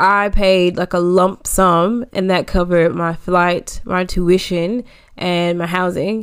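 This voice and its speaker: An American accent marks this woman's medium-pitched voice at a very slow pace. The recording is very clean, with a silent background. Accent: American, slightly changing. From US. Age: 30s. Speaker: podcast co-host, expat. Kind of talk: casual chat, podcast conversation.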